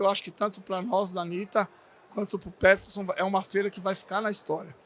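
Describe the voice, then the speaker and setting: At a fairly quick pace, a man is talking. His pitch is high. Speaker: podcast host for a bakery supply brand. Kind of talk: podcast interview. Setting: recorded at a trade fair. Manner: halting, stumbling over words.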